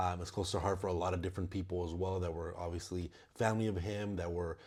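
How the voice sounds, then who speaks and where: Monotone, flat intonation runs through a somewhat breathy voice. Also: man. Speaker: movie reviewer channel host. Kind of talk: casual movie review monologue. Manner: halting, many fillers and repetitions.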